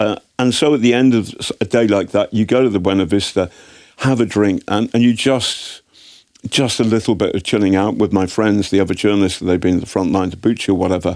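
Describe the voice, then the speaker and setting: Speaking at a fairly quick pace in an English accent, a man keeps his fairly low voice at a very even loudness. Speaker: investigative journalist. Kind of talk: interview. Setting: studio. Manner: animated, halting with repetitions.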